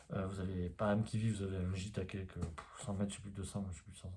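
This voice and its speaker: Quiet and somewhat breathy, a man speaks in a dark, mellow tone. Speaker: osteopath and spiritual YouTuber. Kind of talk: casual vlog monologue. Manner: hesitant, many fillers.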